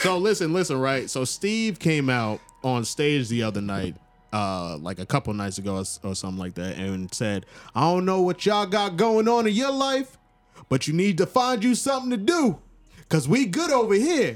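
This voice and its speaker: On a very clean recording with a silent background, a man speaks in a high pitch with a New York accent and very wide pitch swings. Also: moderate pace. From Long Island, New York. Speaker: podcast co-host. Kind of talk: casual chat.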